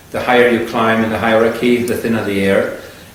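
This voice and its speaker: Over noticeable background noise and audible room echo, a man speaks with a European accent. His medium-pitched voice keeps a moderate pace and fairly even intonation. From Germany. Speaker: surgeon. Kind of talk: interview. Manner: halting, many fillers.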